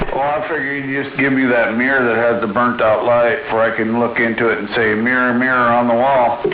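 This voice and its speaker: Amid noticeable background noise and audible room echo, a man speaks fairly quickly in a flat monotone with hardly any pauses. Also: medium pitch for a man. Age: 60s. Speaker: CB radio operator. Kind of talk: casual chat. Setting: CB radio transmission.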